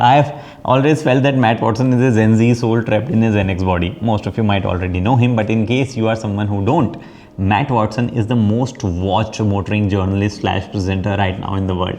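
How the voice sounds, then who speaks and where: A man with a fairly low voice speaks fairly quickly against noticeable background noise. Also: ordinary pitch variation. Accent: Indian. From India. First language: Hindi. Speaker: automotive YouTuber and podcast host. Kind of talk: scripted introduction to camera; casual interview conversation.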